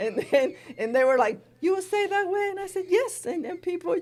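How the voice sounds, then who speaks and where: A woman speaks at a moderate pace with a Spanish accent. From Spain. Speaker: college language instructor. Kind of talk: interview. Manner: conversational, many fillers.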